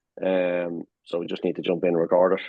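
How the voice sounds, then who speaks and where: The speaker is a man with a very deep, low pitch. He talks at a fairly quick pace. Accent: Dublin. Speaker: rock band drummer. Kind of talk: casual interview chat.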